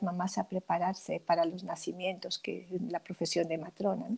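The woman's voice has a dark, mellow tone. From Peru. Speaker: midwife and author. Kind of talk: interview. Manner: halting, with frequent repetitions.

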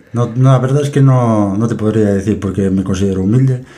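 Audible room echo around a man's fairly low voice, with ordinary pitch variation. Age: 30s. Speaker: forklift operator and amateur triathlete. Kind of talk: interview.

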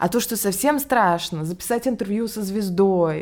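At a moderate pace, a woman with lively intonation speaks in an unremarkable speaking voice. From Russia, Ryazan. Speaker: English teacher and education entrepreneur. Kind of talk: interview.

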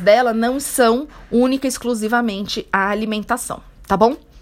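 A woman talks in a plain, everyday voice at a fairly high pitch. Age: 40s. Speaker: health coach. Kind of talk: solo podcast talk. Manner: casual, conversational.

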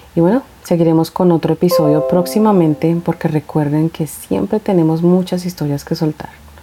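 This woman's voice sits fairly low and shows ordinary pitch variation. Noticeable background noise runs underneath. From Colombia, Bogotá. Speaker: podcast host. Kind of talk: casual monologue, Q&A.

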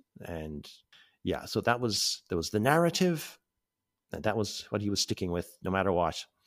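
A man with a Cork accent speaks at a moderate pace and a fairly low pitch, his pitch swinging very widely. The recording is very clean, with a silent background. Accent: Cork Irish. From North Cork, Ireland. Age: 40s. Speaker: abuse survivor. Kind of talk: personal testimony. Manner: halting.

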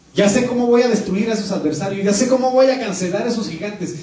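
Speech moves at a fairly quick pace with audible room echo. Background noise is noticeable. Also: man. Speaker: pastor. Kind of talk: sermon. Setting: church.

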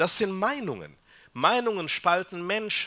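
A bright, sharp tone at a fairly slow pace. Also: man. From Peru. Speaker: psychiatrist. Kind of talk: talk to a church family audience. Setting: hall with live audience.

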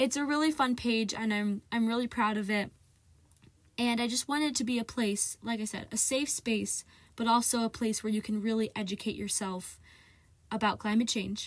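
On a very clean recording with a silent background, a woman with an American accent speaks at a moderate pace. Her voice is somewhat breathy and fairly high, with fairly even intonation. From US Midwest, central Ohio. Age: young. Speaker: podcast host, student climate activist. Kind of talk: solo casual podcast monologue.

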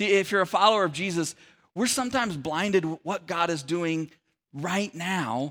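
Speaking at a moderate pace, a man with an American accent has a high pitch and a bright, sharp tone. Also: very clean recording, silent background. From Sacramento area, California. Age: 40s. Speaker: pastor. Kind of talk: sermon. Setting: church.

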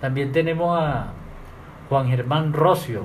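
The speech moves at a fairly slow pace with fairly even intonation. Noticeable background noise and audible room echo fill the recording. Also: man. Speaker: masonic lodge master and radio host. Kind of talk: radio talk. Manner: formal.

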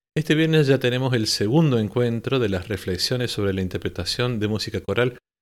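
On a very clean recording with a silent background, a normal speaking voice talks at a fairly quick pace. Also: man. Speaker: choral conductor and podcast host. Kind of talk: podcast monologue on choral directing.

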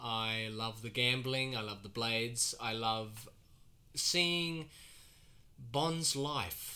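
Speaking at a very slow pace in an Australian accent, a man has a bright, sharp tone and ordinary pitch variation amid audible room echo. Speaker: podcast host. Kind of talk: casual chat.

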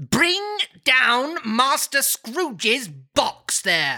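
A put-on character voice at a very slow pace, full of very wide pitch swings. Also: man, extremely high pitch for a man.

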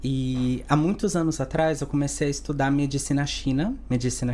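A man's fairly high, dark and mellow voice with fairly even intonation, in a room with audible echo. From Santos, São Paulo, Brazil. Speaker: spiritualist, Umbanda practitioner. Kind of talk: podcast interview.

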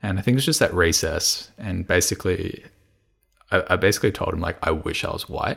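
With an Australian accent, the man keeps up a fairly quick pace. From Australia, Melbourne. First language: Cantonese. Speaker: economics graduate, consultant. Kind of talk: casual interview chat. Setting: remote recording. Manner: fast.

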